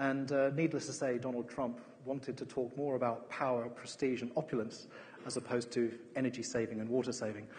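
Somewhat breathy, a man with an English accent speaks at a fairly quick pace in a monotone, flat delivery. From England. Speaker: architect. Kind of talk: lecture. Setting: stage with audience. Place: hall. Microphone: headset.

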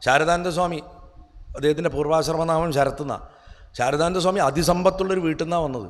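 A man talks in a normal speaking voice. His pitch is fairly high and his intonation fairly even. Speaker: spiritual speaker. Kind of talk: spiritual discourse.

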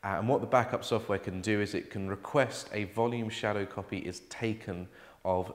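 A man with a normal speaking voice, moderate pace and fairly even intonation. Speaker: presenter. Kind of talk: tutorial. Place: office.

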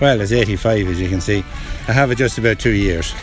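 A man's fairly low voice at a fairly quick pace, with fairly even intonation, a dry sound with no echo, and clear music in the background. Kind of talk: interview answer. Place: beach.

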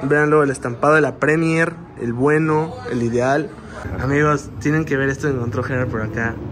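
A man's fairly high voice comes through with noticeable noise behind it. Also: ordinary pitch variation, moderate pace. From Mexico. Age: 20s. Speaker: YouTuber. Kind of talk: casual vlog. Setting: inside a shop. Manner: animated. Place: shop. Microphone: phone near.

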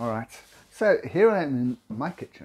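This is a man's voice. Its tone is dark and mellow. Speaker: video confidence coach. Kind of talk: casual tutorial vlog. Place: kitchen.

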